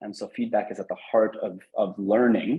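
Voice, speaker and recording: A man with an American accent talks at a moderate pace and a fairly low pitch in a normal speaking voice. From United States. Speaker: head of organizational culture at a school trust. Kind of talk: webinar interview.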